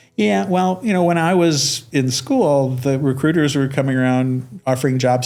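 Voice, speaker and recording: Music plays in the background as a speaker with an American accent talks at a moderate pace with ordinary pitch variation. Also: man. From US Midwest, Detroit suburb. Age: 60s. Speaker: network engineer and executive. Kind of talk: interview. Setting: podcast. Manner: halting, with many repeated words.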